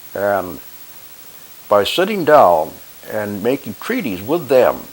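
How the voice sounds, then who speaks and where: Over noticeable background noise, a man with an American accent speaks at a very slow pace, his pitch swinging very widely. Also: fairly low pitch for a man. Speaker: war veteran. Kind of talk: monologue commentary. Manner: halting.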